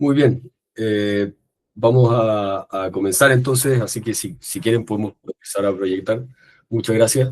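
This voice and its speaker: A man's unremarkable speaking voice, medium in pitch, at a fairly slow pace, with fairly even intonation and a dry, close sound with no echo. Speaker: political science professor. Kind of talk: academic lecture.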